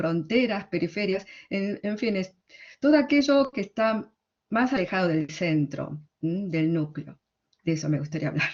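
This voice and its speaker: A woman with a strong Argentine accent speaks at a medium pitch and a very slow pace. Her intonation is lively. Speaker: literary translator. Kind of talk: conference talk. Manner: halting.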